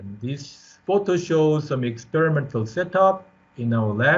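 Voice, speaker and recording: A somewhat breathy voice belongs to a man. He speaks at a fairly slow pace. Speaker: professor. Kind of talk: lecture. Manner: halting.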